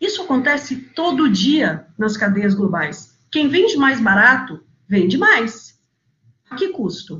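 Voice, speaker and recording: A woman talks in a high voice whose pitch swings very widely. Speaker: NGO executive director. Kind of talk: webinar talk.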